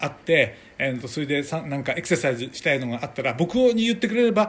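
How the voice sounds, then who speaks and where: Moving at a fairly quick pace, a man lets his pitch swing very widely. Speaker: podcast host. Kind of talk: casual chat. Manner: animated; halting.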